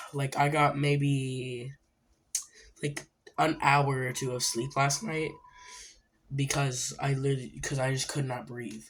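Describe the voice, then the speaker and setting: A quiet man's voice, fairly high-pitched and monotone with flat intonation, at a fairly slow pace with long, frequent pauses. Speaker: gaming youtuber. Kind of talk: let's play commentary. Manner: quiet, sparse talk.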